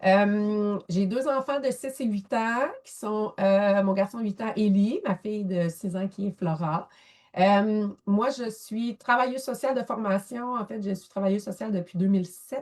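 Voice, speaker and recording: A woman with a Quebec accent, medium in pitch with ordinary variation, at a fairly slow pace, with big swings in loudness, in a very clean recording with a silent background. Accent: Québécois French. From Quebec, near Thetford Mines. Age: 40s. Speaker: photographer and social worker. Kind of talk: interview. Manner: animated.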